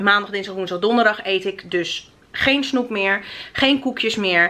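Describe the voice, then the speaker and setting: With ordinary pitch variation, the woman talks at a fairly slow pace. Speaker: vlogger. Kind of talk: casual vlog chat. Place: home room. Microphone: phone near.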